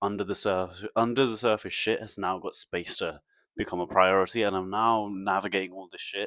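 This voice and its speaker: Recorded very cleanly against a silent background, a man speaks with a fairly low pitch and ordinary pitch variation. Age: 20s. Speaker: vlogger. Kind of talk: casual monologue. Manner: halting, repeats words.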